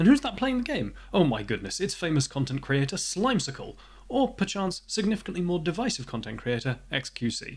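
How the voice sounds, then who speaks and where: A man with a British accent speaks at a fairly quick pace in a fairly high pitch, with vocal fry. The recording is very clean, with a silent background. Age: 20s. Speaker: indie game developer. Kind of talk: devlog narration.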